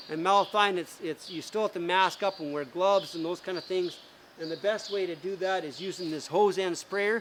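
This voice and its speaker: A high-pitched man talks at a fairly quick pace. His intonation is fairly even. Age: 60s. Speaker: garden center expert. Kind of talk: seminar talk. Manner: casual, conversational.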